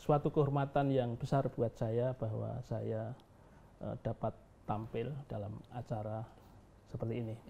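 A man's somewhat breathy voice with a dark, mellow tone, fairly even intonation and a fairly slow pace over light background noise. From Gunung Kidul, Yogyakarta, Indonesia; Yogyakarta, Indonesia. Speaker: education foundation head and businessman; interviewee. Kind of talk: interview. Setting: on location at his foundation. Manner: halting, many fillers. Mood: relaxed, friendly. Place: home room.

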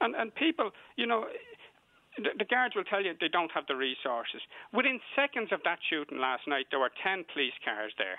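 At a moderate pace, a man with a Dublin accent speaks in a high pitch with very wide pitch swings. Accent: Dublin Irish. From Dublin north inner city. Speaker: community activist caller. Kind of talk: heated debate.

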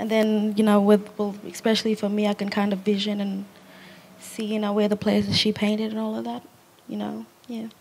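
A woman in a monotone, flat intonation at a fairly quick pace, with light background noise. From Australia. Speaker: artist's great-grandchild; guest. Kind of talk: panel discussion. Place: garden. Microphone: handheld.

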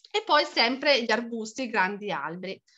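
A woman's raised, projected voice, bright and sharp in tone, at a fairly quick pace over a quiet background. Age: 40s. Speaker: pedagogist and permaculture teacher; permaculture teacher. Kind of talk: online lecture. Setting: video call. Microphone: video call.

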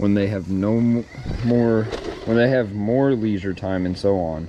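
Noticeable background noise sits under a dry, echo-free recording of a man speaking fairly slowly at a fairly low pitch with ordinary pitch variation. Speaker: vlogger. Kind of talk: reading aloud a devotional. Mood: calm, reflective. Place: garden. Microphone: phone near.

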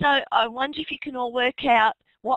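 A woman with an Australian accent talks at a fairly slow pace, with ordinary pitch variation. The background is quiet, and the sound is dry with no echo. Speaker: teacher and webinar moderator. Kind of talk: webinar moderation. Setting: online webinar. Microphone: video call.

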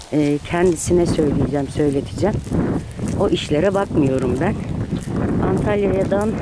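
The sound is dry, with no echo. Loud background noise runs underneath the voice. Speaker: vlogger. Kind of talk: casual vlog chat. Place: street. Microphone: phone near.

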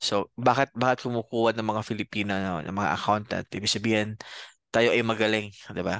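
A man with a fairly low pitch speaks at a fairly quick pace with fairly even intonation, in a dry sound with no echo against a quiet background. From Bicol, Philippines; Philippines. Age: 30s. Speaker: accounting professor and CPA; accounting lecturer. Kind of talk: lecture. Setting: video call. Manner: halting, many fillers. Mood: friendly, relaxed. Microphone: headset.

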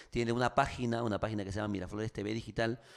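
A man speaks against a quiet background. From Peru. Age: 40s. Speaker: radio host and actor; radio host, actor. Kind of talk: casual interview. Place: studio. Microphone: studio mic.

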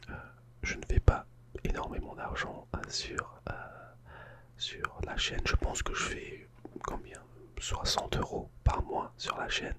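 Whispering and soft-spoken, a man talks at a very slow pace with long, frequent pauses over loud background noise. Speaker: ASMR YouTuber. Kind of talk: casual vlog chat. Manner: soft ASMR whisper close to mic. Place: home room. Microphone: studio mic.

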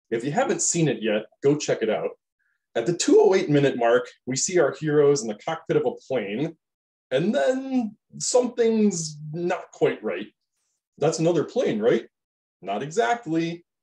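Against a quiet background, a man uses a theatrical, dark, mellow tone with a high pitch and very wide pitch swings, speaking at a fairly slow pace. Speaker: science educator. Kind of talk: scripted educational video narration. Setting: online video. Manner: theatrical, hyped-up showman delivery in the match intro; casual, with filler 'uh's and a light, jokey tone. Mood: light, playful explanatory tone.

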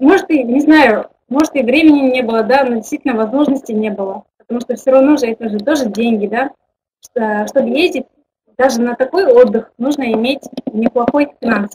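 With light noise behind her, a woman speaks at a moderate pace in a high voice with ordinary pitch variation. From Kazakhstan. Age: 20s. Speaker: network marketing director; webinar presenter. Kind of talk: online webinar presentation. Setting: webinar with online audience. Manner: informal, hesitant, with fillers. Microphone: webcam.

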